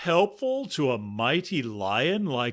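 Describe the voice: Simply plain reading aloud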